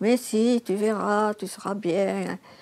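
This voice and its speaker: Her intonation holds fairly even. The speaker is a woman. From France, Gironde (Arcachon basin). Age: 80s+. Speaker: former lighthouse keeper's assistant. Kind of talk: personal testimony.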